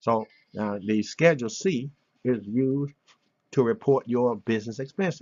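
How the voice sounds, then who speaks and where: A man speaks with ordinary pitch variation. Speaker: tax and business opportunity promoter. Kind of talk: sales pitch tutorial. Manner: fast.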